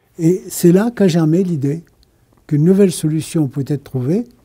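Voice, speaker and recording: At a moderate pace, a man speaks with a dark, mellow tone and a fairly high pitch. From France. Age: 80s. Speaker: inventor. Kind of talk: interview answer.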